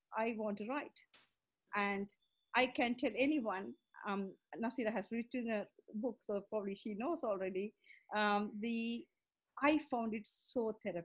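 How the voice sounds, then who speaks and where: A somewhat breathy woman with a fairly high pitch and long, frequent pauses, on a very clean recording with a silent background. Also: ordinary pitch variation, moderate pace. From Sri Lanka. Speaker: coach and entrepreneur. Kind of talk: casual interview.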